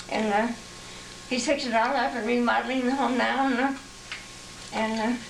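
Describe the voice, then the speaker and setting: With noticeable background noise and audible room echo, a woman speaks in a high, monotone voice at a fairly quick pace, broken by long, frequent pauses. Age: 90s. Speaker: grandmother showing family photos. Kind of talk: casual reminiscing. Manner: halting.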